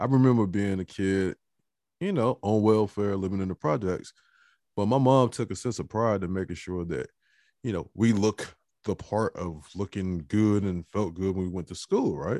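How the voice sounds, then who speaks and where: With an American accent and a plain, everyday voice, a man speaks at a moderate pace in a fairly low pitch with ordinary variation, in a very clean recording with a silent background and a dry, close sound with no echo. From Newport News, Virginia. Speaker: caller. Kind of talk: casual chat.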